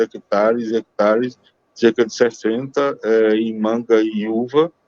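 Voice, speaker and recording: Speaking at a very slow pace, a man uses a medium pitch and fairly even intonation, with a dry, close sound with no echo. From Brazil, Pernambuco (Gravatá). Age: 70s. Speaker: journalist and business consultant. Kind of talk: interview.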